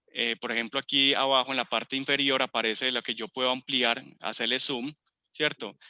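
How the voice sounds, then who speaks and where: The man's pitch is medium. He speaks in a monotone, flat way. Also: fairly quick pace. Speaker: computer course instructor. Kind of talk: tutorial. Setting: video call.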